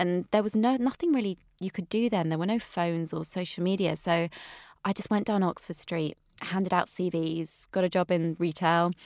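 A woman with a slight West Country accent speaks at a moderate pace, her medium pitch varying in an ordinary way. The recording is very clean, with a silent background and a dry, close sound with no echo. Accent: slight West Country, drops her T's. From England, Wiltshire. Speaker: nutritionist. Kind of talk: interview.

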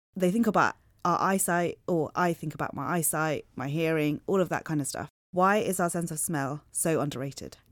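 A woman's fairly low voice at a moderate pace, with ordinary pitch variation and a plain, everyday voice, over a silent background in a very clean recording. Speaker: podcast host. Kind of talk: casual interview. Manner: chatty, laughs often.

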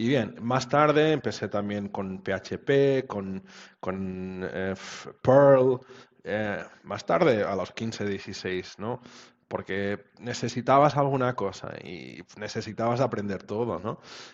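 The words come very slowly, and the pitch varies in an ordinary way. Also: man, medium pitch for a man. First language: Portuguese (speaking Spanish). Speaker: web developer. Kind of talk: interview. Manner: halting.

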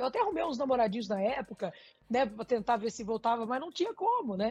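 A woman's voice with very wide pitch swings. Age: 30s. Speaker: corporate team leader. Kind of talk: interview.

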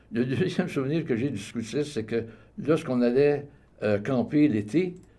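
With a dark, mellow tone, a man speaks at medium pitch with ordinary pitch variation. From Quebec, Montreal. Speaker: retired salesman and community volunteer. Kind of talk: radio interview.

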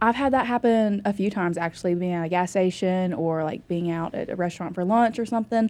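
With an American accent and a dark, mellow tone, a woman of medium pitch talks at a very fast pace with hardly any pauses. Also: ordinary pitch variation. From North Carolina, Iredell County. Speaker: sheriff's deputy. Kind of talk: interview.

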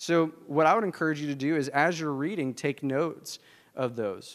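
A man speaks with a Southern US accent in a very clean recording against a silent background. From US South. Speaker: pastor. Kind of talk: sermon.

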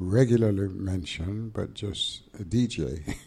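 In a Jamaican accent, a man speaks over noticeable background noise. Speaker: engineer and pioneer. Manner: formal.

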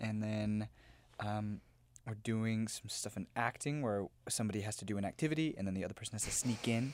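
A man with an American accent and a plain, everyday voice, at a fairly quick pace. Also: fairly low pitch for a man, ordinary pitch variation. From US South, Memphis, Tennessee. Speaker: musical theatre student. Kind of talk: casual chat.

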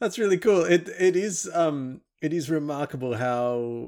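A man with an Australian accent talks with ordinary pitch variation. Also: very clean recording, silent background. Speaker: podcast host, physicist. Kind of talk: science podcast conversation.

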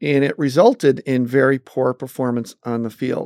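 In a very clean recording with a silent background and a dry, close sound free of echo, a man with a fairly high pitch speaks at a fairly slow pace. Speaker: sales executive and mentor. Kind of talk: interview. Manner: energetic.

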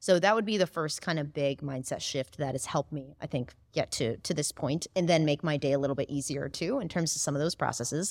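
Dry and close with no echo, a woman's very deep, low voice moves at a fairly quick pace with hardly any pauses and ordinary pitch variation. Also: very clean recording, silent background. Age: 20s. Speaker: chatbot marketing agency co-founder. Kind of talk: interview.

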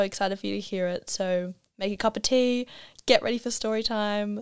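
A woman with a medium-pitched voice is heard on a very clean recording with a silent background. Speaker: podcast host. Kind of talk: scripted intro narration. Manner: fast-talking; enthusiastic, bubbly.

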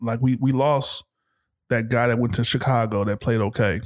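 A man's ordinary speaking voice at a medium pitch, fairly quick, with ordinary pitch variation on a very clean recording with a silent background. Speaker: podcast host, father of co-hosts. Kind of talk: casual chat.

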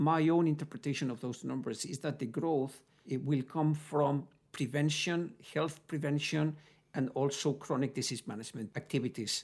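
Delivered at a moderate pace with a Spanish accent, the speech comes through on a very clean recording with a silent background. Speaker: group chief executive. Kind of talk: business interview answers.

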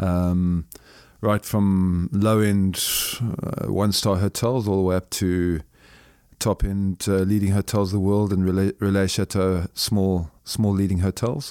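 With a Zimbabwean accent, a man speaks in a dark, mellow tone at a fairly low pitch, fairly slowly and with fairly even intonation, in a dry, close sound with no echo on a very clean recording with a silent background. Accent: deep Zimbabwean. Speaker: businessman and former soldier. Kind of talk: interview. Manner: halting, with many repetitions.

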